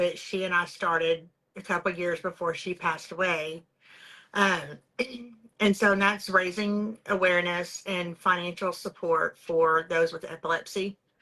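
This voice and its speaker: A woman's bright, sharp voice with a Texan accent, fairly low in pitch, flat and monotone, at a moderate pace. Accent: Texas Southern US. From East Texas. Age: 40s. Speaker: beauty products sales director. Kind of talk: interview, personal testimony.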